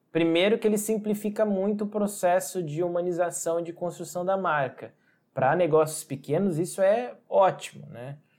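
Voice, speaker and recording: A man with a high pitch and ordinary pitch variation at a moderate pace, on a very clean recording with a silent background. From interior of São Paulo state, Brazil. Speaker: designer and branding agency owner. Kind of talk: podcast interview.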